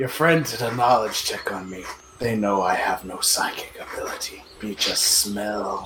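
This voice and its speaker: Over clear background noise, someone uses a put-on character voice at a moderate pace. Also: man, medium pitch for a man. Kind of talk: broken pidgin speech. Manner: cryptic, sly.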